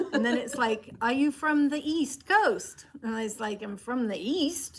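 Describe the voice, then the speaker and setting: Someone with a slight English accent speaks against noticeable background noise. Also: woman. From England. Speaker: fabric shop co-host. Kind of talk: live stream sales chat.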